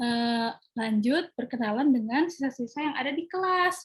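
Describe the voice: Fairly high-pitched woman's voice with a slightly husky edge, ordinary pitch variation and a moderate pace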